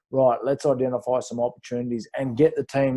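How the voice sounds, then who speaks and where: In an Australian accent, a man talks fairly quickly with monotone, flat intonation. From rural New South Wales, Australia. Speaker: former pro rugby player, business coach. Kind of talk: interview. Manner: hesitant, many fillers.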